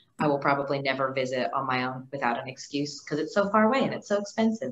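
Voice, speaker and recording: A woman with an American accent speaks at a very fast pace. Her pitch is very deep and low, with ordinary pitch variation. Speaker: university alumna living abroad; guest. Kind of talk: casual group conversation. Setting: video call. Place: office. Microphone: video call.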